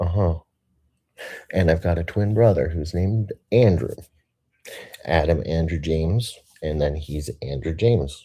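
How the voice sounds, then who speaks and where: Speaking with an American accent, a man has a very deep, low pitch and a dark, mellow, somewhat breathy tone, using ordinary pitch variation at a fairly slow pace. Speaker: video blogger. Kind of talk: casual monologue. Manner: rambling, halting.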